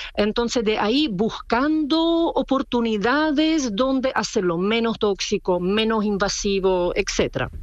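With very even loudness and hardly any pauses, the speaker talks at a fairly slow pace with lively intonation and a non-native accent, over noticeable background noise. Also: woman, fairly high pitch for a woman. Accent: foreign accent in Spanish. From Czech Republic. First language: Czech (speaking Spanish). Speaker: clothing designer. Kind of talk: interview.

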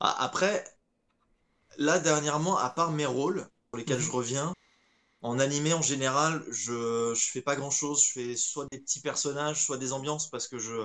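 A man's fairly high voice at a moderate pace, with fairly even intonation and long, frequent pauses. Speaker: voice actor. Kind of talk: casual interview. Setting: video call over Discord.

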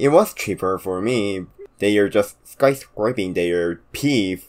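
Lively intonation with a Korean accent, on a very clean recording against a silent background. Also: man. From South Korea. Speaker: podcast co-host. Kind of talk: casual chat.

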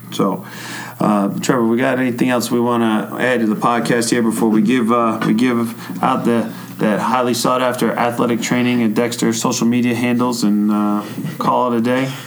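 Over noticeable background noise and audible room echo, a man with an American accent speaks at a moderate pace and medium pitch, with monotone, flat intonation and very even loudness. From New York. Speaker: high school strength coach and health teacher. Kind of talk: casual podcast interview.

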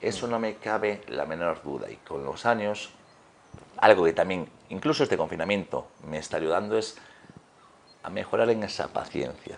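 Lively intonation comes at a moderate pace, broken by long, frequent pauses. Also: man, fairly low pitch for a man. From Galicia, Spain. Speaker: fitness trainer and former handball player. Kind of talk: interview.

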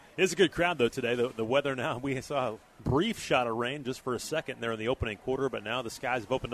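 This man has a plain, everyday voice at medium pitch with ordinary pitch variation, recorded with a dry, close sound and no echo. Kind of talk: live play-by-play commentary. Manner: fluent, fast, clipped play-by-play delivery.

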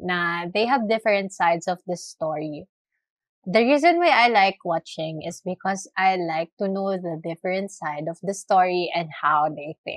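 This woman has an unremarkable speaking voice with ordinary pitch variation, recorded with a dry, close sound and no echo. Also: medium pitch for a woman, fairly slow pace. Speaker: podcast co-host. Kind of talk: casual chat.

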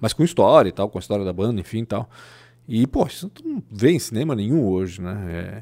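A man's medium-pitched voice with a dark, mellow tone, at a fairly quick pace, on a very clean recording with a silent background. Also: lively intonation. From southern Brazil, Blumenau (born in Chile). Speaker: journalist. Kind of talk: casual chat.

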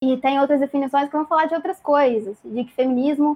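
A woman speaks at a high pitch with a dark, mellow tone. Her intonation stays fairly even. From Brazil, Volta Redonda (Rio de Janeiro state). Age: 20s. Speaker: podcast guest, feminist speaker. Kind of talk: casual discussion. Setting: livestream.

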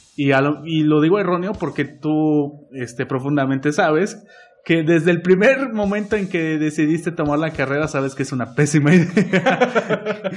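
This man has a normal speaking voice, pitched fairly high, moving at a moderate pace with ordinary pitch variation. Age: 20s. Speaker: podcast co-host and acting student. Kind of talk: casual chat.

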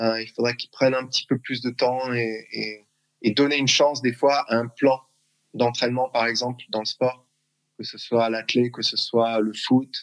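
The speech comes at a fairly slow pace in a monotone, flat intonation, with a dry, close sound and no echo. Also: man, medium pitch for a man. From France, Strasbourg (Alsace). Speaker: athletics coach. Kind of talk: interview. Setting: video call. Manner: halting.

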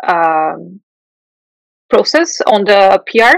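In a Portuguese accent, a woman with a fairly high voice speaks very slowly, the sound dry and close with no echo. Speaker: software engineering manager. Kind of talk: interview.

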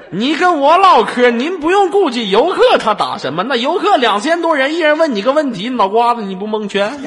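A man with an extremely high pitch talks with very wide pitch swings and hardly any pauses over noticeable background noise. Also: moderate pace. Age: 20s. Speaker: online voice-chat room host. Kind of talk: casual chat. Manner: animated.

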